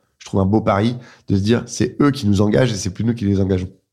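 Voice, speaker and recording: Very fast speech comes from a man with a fairly low pitch and a dark, mellow tone. His intonation is fairly even, and the recording is very clean with a silent background. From France, grew up in Dijon, Lyon, Reims. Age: 30s. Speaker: entrepreneur, clothing brand co-founder. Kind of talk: interview. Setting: in person at host's place.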